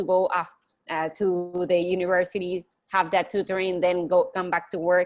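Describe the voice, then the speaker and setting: A woman with a Spanish accent speaks fairly quickly at a medium pitch in a flat, monotone way against a quiet background. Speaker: college student. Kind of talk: online group discussion.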